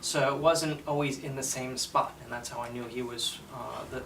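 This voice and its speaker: Audible room echo and noticeable background noise surround a man speaking at a moderate pace and medium pitch. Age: 40s. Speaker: patient giving testimonial. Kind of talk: testimony. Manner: halting, many fillers.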